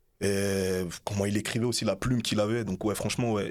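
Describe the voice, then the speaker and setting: In a very clean recording with a silent background, a man speaks in a fairly low pitch with fairly even intonation. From France, Bagneux (Hauts-de-Seine). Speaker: rapper. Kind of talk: casual interview.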